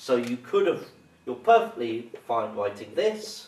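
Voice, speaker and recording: Against light background noise and audible room echo, a man speaks at a fairly slow pace. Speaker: maths teacher. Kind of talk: tutorial. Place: classroom. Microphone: camera far.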